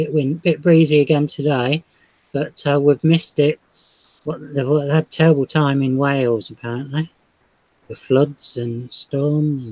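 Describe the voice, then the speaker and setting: Putting on a character voice in a British accent, a man mumbles at a moderate pace with a fairly high pitch and fairly even intonation. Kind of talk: casual, chatty. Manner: mumbled, casual.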